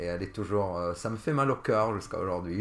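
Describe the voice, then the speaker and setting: With ordinary pitch variation, a man talks in a fairly low voice. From Lebanon, Jounieh. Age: 30s. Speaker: podcast guest. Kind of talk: casual interview, personal story. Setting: host's home. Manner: halting, many fillers.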